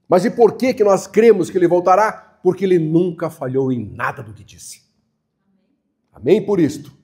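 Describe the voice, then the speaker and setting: Through a very clean recording with a silent background, a man with a high pitch and a dark, mellow tone speaks at a moderate pace, using lively intonation and big swings in loudness. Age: 80s+. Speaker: pastor. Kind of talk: sermon. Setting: church.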